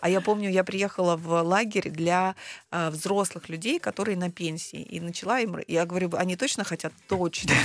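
The recording is very clean, with a silent background. A woman speaks at a medium pitch and a moderate pace. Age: 40s. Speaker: personal brand coach and psychologist. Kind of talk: interview. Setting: studio. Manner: animated.

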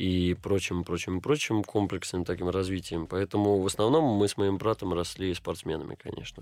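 A man with a very deep, low voice talks at a moderate pace in a very clean recording where the background is silent. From St. Petersburg, Russia. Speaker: actor. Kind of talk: interview.

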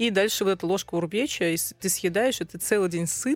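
A woman at a moderate pace with ordinary pitch variation, a dry, close sound with no echo, and music in the background. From Russian Far East (Sakhalin). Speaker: food journalist and publisher. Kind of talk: casual chat. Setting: studio. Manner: animated.

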